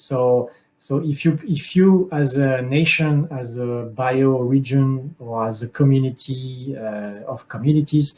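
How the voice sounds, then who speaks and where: A man with a French accent speaks at a medium pitch with fairly even intonation. His tone is dark, mellow and somewhat breathy. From France. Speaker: conference speaker. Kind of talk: panel Q&A. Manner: halting.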